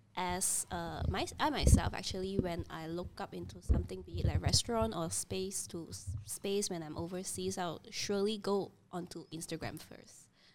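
A woman talks with hardly any pauses and big swings in loudness over noticeable background noise. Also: moderate pace. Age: 30s. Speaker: creative studio co-founder. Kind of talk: casual chat.

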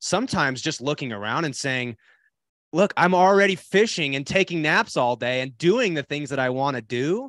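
In an unremarkable speaking voice, a man talks at a fairly high pitch and moderate pace with lively intonation, a dry, close sound with no echo and a quiet background. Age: 30s. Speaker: podcast host. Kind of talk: casual interview. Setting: video call.

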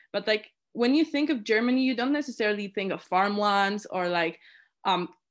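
On a very clean recording with a silent background, a woman speaks with a Polish accent. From Poland. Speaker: student committee chair. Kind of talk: interview. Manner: halting.

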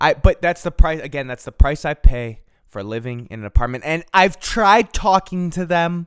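Very wide pitch swings and an animated tone come at a moderate pace, captured in a very clean recording with a silent background and a dry, close sound with no echo. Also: man. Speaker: podcast host. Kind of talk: angry comedic rant. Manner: animated, exasperated; loud, ranting.

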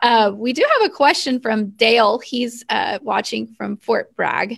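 A woman's fairly high-pitched voice with vocal fry, at a fairly slow pace. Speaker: co-host. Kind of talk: interview chat.

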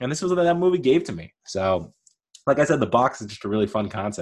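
A man speaks in a nasal, animated tone with lively intonation. The background is quiet. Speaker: podcast host. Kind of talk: solo casual rant monologue. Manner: rambling, self-deprecating, animated.

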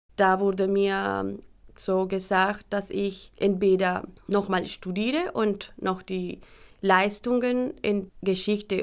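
A woman talks very slowly at a medium pitch. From Colombia. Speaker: teacher seeking recognition. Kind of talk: testimony.

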